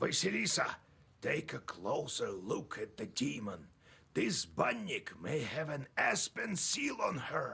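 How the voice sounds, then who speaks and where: Adopting a raspy put-on character voice, a man speaks at a fairly high pitch and a fairly slow pace. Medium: video game. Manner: calm, authoritative.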